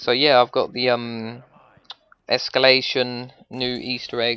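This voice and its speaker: A man speaks at a fairly slow pace with a bright, sharp tone. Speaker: gaming youtuber. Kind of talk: tutorial. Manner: casual, rambling with fillers.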